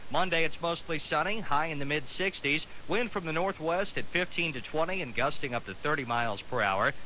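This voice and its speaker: The man has an unremarkable speaking voice, fairly high in pitch, with lively intonation at a moderate pace. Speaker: radio announcer. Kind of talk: radio weather forecast.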